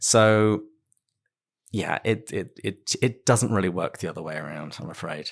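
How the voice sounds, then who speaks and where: With a British accent, a man talks at a fairly low pitch with ordinary pitch variation and big swings in loudness. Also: moderate pace. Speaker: podcast host. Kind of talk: podcast interview.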